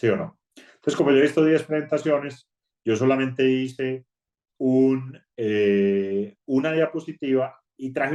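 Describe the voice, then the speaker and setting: Speaking with a strong Colombian accent, a man has a dark, mellow tone, medium pitch and ordinary pitch variation. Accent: strong paisa Colombian. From Colombia, Antioquia. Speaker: bank HR executive. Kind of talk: online talk. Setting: video call. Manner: conversational.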